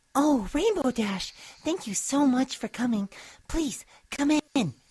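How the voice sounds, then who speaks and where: A female-sounding put-on character voice, high-pitched for a woman, at a fairly slow pace. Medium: read story. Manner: soft-spoken, gentle.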